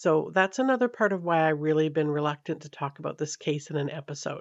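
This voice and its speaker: This woman's voice is very deep and low, and she speaks with a Canadian accent. Her pace is fairly quick. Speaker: true crime podcast host. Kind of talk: true crime storytelling. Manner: casual, conversational.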